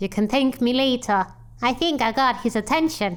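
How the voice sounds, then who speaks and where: A woman performs a high-pitched put-on character voice at a moderate pace with very even loudness. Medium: game stream. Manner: loud, brash.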